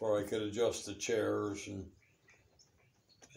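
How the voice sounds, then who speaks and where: Audible room echo surrounds a man whose fairly low voice is somewhat breathy, with a dark, mellow tone. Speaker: interviewee. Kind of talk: interview answer. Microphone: phone near.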